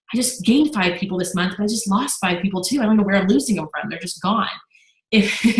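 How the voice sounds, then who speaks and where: A woman talks at a very fast pace in a medium pitch with ordinary pitch variation, and the room echo is audible. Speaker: network marketing business leader. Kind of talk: Q&A session.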